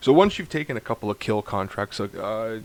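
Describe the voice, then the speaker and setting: A man with an unremarkable speaking voice talks at a moderate pace in a medium pitch with ordinary pitch variation. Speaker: video game tutorial creator. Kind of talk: gameplay tutorial. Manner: casual, thinking aloud.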